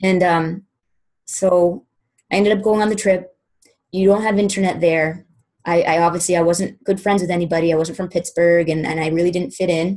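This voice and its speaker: Over a quiet background, a woman with an American accent talks at a fairly quick pace in a fairly low, monotone, flat voice. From Boston, US. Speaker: fitness business coach; guest. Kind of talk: testimony. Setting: conference call. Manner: informal. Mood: earnest, reflective. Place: home room. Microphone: webcam.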